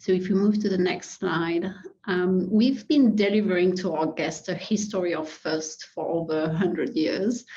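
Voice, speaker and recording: A woman with a French accent speaks at a medium pitch, her pitch varying in an ordinary way. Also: moderate pace. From France. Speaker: hospitality executive. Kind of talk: webinar presentation. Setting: webinar.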